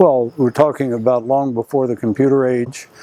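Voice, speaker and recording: A man with an American accent, medium in pitch, at a moderate pace, with noticeable background noise. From Arlington, Virginia, US. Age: 70s. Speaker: retired author interviewed about his memoir. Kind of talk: interview. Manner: halting, frequent uh fillers.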